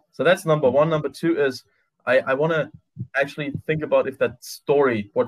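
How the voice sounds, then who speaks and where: A man's ordinary speaking voice, fairly high-pitched, with ordinary pitch variation and a fairly quick pace. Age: 20s. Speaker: magician and public speaking trainer. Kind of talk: casual interview. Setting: home office.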